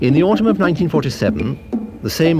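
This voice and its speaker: Using a dramatic tone, a man speaks with very wide pitch swings. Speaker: documentary narrator. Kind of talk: 1970s documentary narration, scripted and authoritative. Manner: formal, measured, dramatic, steady delivery.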